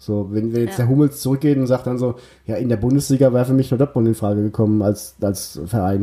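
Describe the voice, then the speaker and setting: At a very fast pace, a man talks in a medium pitch with a dark, mellow tone and ordinary pitch variation. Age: 30s. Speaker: football podcast host and journalist. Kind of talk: casual chat.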